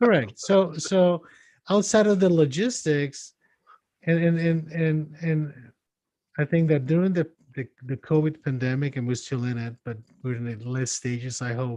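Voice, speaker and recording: A man speaks at a moderate pace with a fairly high pitch and lively intonation. His tone is dark and mellow. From Mexico. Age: 60s. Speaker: psychiatrist. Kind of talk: casual chat.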